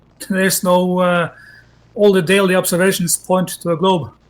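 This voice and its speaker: With a Norwegian accent, a man talks at a fairly slow pace and a high pitch. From Norway. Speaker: debate guest. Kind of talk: debate. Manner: halting.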